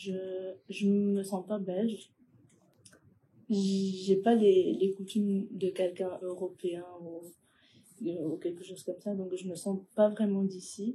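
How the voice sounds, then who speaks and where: A woman talks at a very slow pace and medium pitch, with long, frequent pauses. Her somewhat breathy voice has a dark, mellow tone and monotone, flat intonation. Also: big swings in loudness. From Ecuador. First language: Spanish (speaking French). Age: 20s. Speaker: young immigrant interviewee. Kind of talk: interview. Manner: hesitant.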